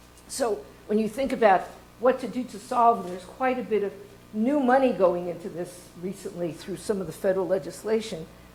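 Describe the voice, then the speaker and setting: Amid audible room echo, a woman with a medium pitch speaks at a fairly quick pace with ordinary pitch variation. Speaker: water resources professor and research center director. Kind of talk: conference talk. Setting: stage with audience. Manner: fast.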